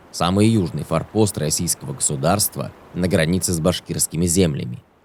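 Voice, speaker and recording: Very deep, low male voice with vocal fry, ordinary pitch variation and a moderate pace. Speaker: documentary narrator. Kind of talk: documentary narration.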